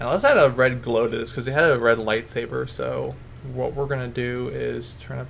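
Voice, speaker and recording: Heard with audible room echo, a man with a very deep, low pitch makes very wide pitch swings. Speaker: video editing tutorial maker. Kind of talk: tutorial. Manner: casual, self-correcting.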